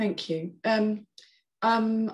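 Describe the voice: A woman's medium-pitched voice with vocal fry and fairly even intonation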